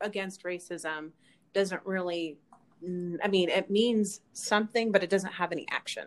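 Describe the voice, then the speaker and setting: In an American accent, a woman with a plain, everyday voice speaks at medium pitch with fairly even intonation. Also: moderate pace. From Utah, Kaysville. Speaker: actress and activist. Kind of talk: casual interview.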